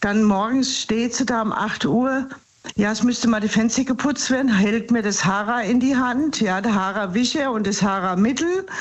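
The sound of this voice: A woman talks at a moderate pace with ordinary pitch variation. Audible room echo surrounds her voice.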